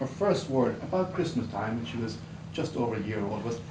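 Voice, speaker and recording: A man talks with an Irish accent in an animated tone and lively intonation. Audible room echo surrounds his voice. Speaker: Toastmasters club speaker. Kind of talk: prepared humorous speech. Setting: club meeting with audience. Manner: animated, varied vocal delivery.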